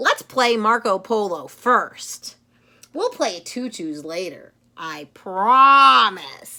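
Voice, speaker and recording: A female-sounding voice puts on a character voice at a medium pitch. It is raised and projected, and it moves at a very slow pace. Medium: read story. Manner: brash, pushy.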